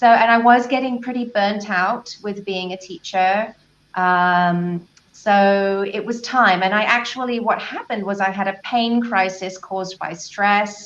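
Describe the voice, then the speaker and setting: The delivery has fairly even intonation. The pace is fairly slow. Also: woman, medium pitch for a woman. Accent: southern English. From southern England, Brighton. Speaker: life and business coach. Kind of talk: interview.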